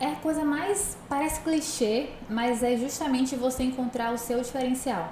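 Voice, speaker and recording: Through noticeable background noise and audible room echo, a woman talks with ordinary pitch variation. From Brazil, Northeast (Salvador, Bahia). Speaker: entrepreneur and digital influencer. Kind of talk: podcast interview.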